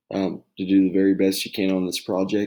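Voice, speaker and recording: His pitch is very deep and low. The man is soft-spoken. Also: very clean recording, silent background. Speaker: teacher. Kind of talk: tutorial. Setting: at home.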